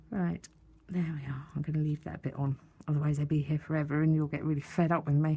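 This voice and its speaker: A woman's very deep, low voice in an English accent, somewhat breathy and in a flat monotone. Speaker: papercraft tutorial maker. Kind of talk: tutorial. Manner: casual, chatty. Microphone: close to mic, audible breathing.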